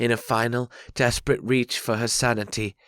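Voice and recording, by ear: Someone reads the text aloud in a natural voice.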